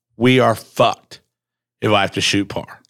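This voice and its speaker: A man talks in an ordinary speaking voice with an American accent. His pitch is medium, with ordinary variation. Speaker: podcast host and mayoral candidate. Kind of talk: casual chat. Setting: studio. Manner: casual, joking, profane.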